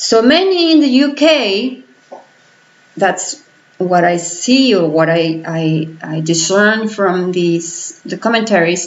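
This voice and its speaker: With a Spanish accent, a woman speaks at a very slow pace in a medium pitch and lively intonation, with noticeable background noise and audible room echo. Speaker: political vlogger. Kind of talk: vlog commentary. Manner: halting.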